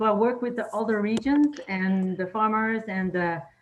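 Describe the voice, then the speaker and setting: A woman with a French accent talks at a moderate pace. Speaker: project coordinator. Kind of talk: self-introduction. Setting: video call. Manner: halting.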